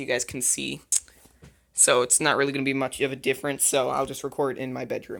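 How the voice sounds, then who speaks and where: The pace is fairly quick, captured in a very clean recording with a silent background. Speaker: tech youtuber. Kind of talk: unboxing video. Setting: bedroom. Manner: casual, hesitant with fillers; quiet.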